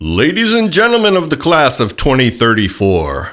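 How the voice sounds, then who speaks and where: A man puts on a character voice at a fairly high pitch. His pitch swings very widely. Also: moderate pace. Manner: pompous, grandiose.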